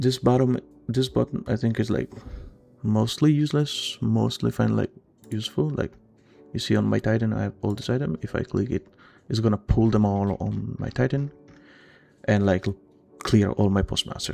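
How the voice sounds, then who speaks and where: Over music in the background, a man talks with long, frequent pauses. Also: moderate pace. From Italy. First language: Italian. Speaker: gaming tutorial creator. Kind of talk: tutorial. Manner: casual, hesitant with many fillers.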